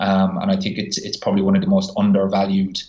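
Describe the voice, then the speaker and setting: A man talks with an Irish accent. His pace is fairly quick. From Ireland. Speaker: physiotherapist. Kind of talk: podcast interview.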